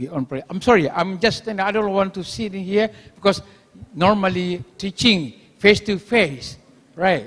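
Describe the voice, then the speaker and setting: A man with an Indonesian accent and a high pitch speaks at a fairly slow pace, with ordinary pitch variation and big swings in loudness. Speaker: university lecturer. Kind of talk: conference presentation. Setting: auditorium. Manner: halting.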